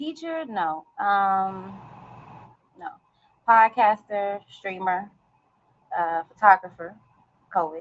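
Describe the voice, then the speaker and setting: Her medium-pitched voice moves with lively intonation as this woman speaks at a very slow pace, leaving long, frequent pauses. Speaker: podcaster and motivational speaker. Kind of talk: interview. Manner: soft-spoken.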